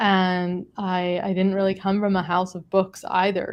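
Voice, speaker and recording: With an American accent, a woman is talking. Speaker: author. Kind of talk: panel discussion. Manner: halting.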